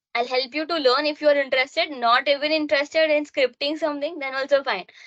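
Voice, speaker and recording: Her voice is raised and projected, pitched high. A woman speaks with a bright, sharp tone. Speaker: cyber security trainer. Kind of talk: online course intro session with student. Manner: hesitant, many fillers.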